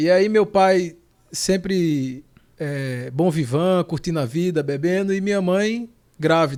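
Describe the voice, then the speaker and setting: Recorded very cleanly against a silent background, a man with a Pernambuco accent speaks in a high pitch with ordinary pitch variation. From Pernambuco, Brazil (Panelas). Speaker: lawyer. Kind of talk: interview. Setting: podcast studio.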